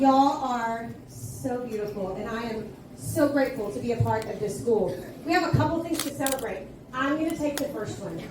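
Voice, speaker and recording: With noticeable background noise and audible room echo, the speaker talks at a moderate pace with lively intonation. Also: woman, fairly high pitch for a woman. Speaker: school administrator. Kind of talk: school assembly address. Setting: school assembly. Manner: loud; animated.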